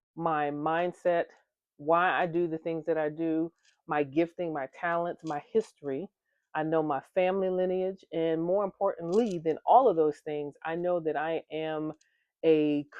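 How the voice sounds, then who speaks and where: Fairly slow speech from a woman with a fairly low pitch. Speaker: engineer and vlogger. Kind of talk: motivational talk. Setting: different location with people around. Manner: projected, not too loud.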